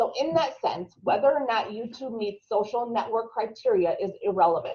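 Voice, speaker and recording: A woman with a strong Minnesotan accent, a fairly high pitch, and a moderate pace. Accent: thick Minnesota. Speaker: marketing instructor. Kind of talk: webinar tutorial.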